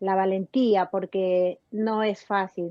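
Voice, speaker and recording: A woman's very slow speech in a dark, mellow tone, dry and close with no echo. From Peru. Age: 60s. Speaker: emigrant voter asking questions. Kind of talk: interview.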